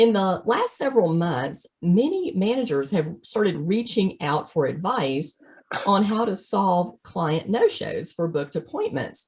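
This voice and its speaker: Speaking fairly slowly in a Southern US accent, a woman uses a somewhat breathy, medium-pitched voice with lively intonation. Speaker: veterinary practice consultant. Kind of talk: webinar presentation.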